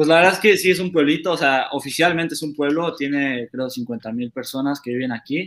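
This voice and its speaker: In a Mexican accent, a man speaks at a fairly quick pace and fairly high pitch with hardly any pauses. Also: ordinary pitch variation. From Mexico, Querétaro. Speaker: professional footballer. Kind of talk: casual interview. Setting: live stream.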